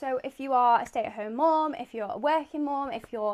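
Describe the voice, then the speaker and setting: A woman with a British accent speaks at a fairly quick pace with ordinary pitch variation. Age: 20s. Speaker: vlogger, stay-at-home mum. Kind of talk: casual talking-to-camera vlog.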